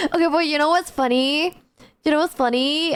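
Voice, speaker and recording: A woman speaks in a high pitch. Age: 20s. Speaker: VTuber streamer. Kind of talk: casual live-stream chat.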